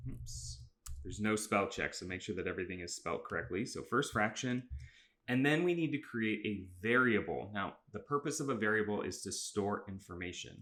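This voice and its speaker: A man with fairly low pitch and vocal fry talks at a fairly quick pace. His tone is bright and sharp, with very wide pitch swings. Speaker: middle school teacher. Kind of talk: tutorial. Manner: fast; casual, with fillers.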